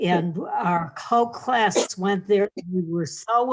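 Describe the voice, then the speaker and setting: Her pitch sits in the medium range for a woman. She speaks with an American accent at a very slow pace. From Hartford, Connecticut. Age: 80s+. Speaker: community member sharing memories. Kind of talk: casual reminiscence. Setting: video call.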